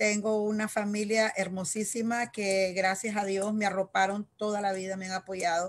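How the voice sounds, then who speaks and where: A woman talks very slowly in a monotone with flat intonation. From Nicaragua, Managua. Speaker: local election candidate. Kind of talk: interview. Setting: video call. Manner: halting. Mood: warm, earnest. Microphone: video call.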